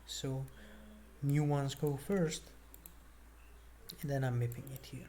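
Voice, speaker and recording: Someone with a non-native accent speaks at a fairly slow pace, leaving long, frequent pauses. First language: not English. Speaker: programmer vlogger. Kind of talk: screen-share coding walkthrough. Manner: casual, halting with fillers.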